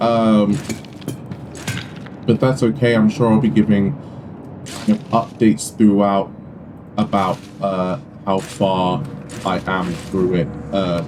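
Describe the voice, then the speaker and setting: Over noticeable background noise, a man with a fairly low pitch talks at a very slow pace, using ordinary pitch variation and long, frequent pauses. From UK. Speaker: gaming YouTuber. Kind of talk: gameplay commentary. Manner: hesitant, many fillers. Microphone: poor mic quality.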